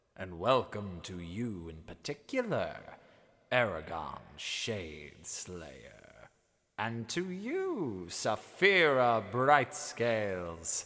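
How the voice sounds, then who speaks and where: Using a put-on character voice, a man speaks at a very slow pace. His pitch sits in the medium range. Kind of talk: audiobook character reading. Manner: mocking, condescending.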